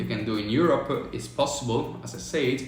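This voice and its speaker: Through noticeable background noise and audible room echo, a man speaks at medium pitch. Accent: Italian. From Italy. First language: Italian. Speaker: business consultant, online business coach. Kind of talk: livestream talk on tax advice. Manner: halting, many fillers.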